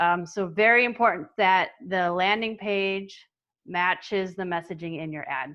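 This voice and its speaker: Big swings in loudness mark this woman's medium-pitched voice. She speaks at a fairly slow pace with ordinary pitch variation. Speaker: marketing agency owner and webinar presenter. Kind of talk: webinar presentation. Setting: online webinar.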